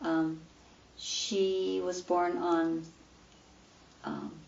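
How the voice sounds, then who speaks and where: A woman with an American accent speaks at a fairly low pitch, with audible room echo. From Louisville, Colorado, US. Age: 60s. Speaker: retired PE teacher. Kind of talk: oral history interview. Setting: her home.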